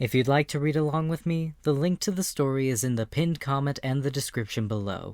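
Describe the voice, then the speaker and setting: At a fairly quick pace, a man with a fairly high pitch and ordinary pitch variation speaks in a plain, everyday voice. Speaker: audiobook narrator. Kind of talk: audiobook intro, casual.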